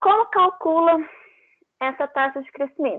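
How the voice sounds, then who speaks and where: A woman is speaking. Her pace is fairly slow. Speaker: teaching assistant. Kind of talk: tutorial.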